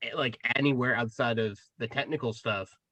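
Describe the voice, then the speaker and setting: In a bright, sharp tone, a man speaks at a moderate pace. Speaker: podcast co-host. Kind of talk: casual chat.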